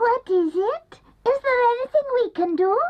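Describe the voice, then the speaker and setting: This cartoonish character voice is squeaky and extremely high, moving at a moderate pace. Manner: eager, obliging.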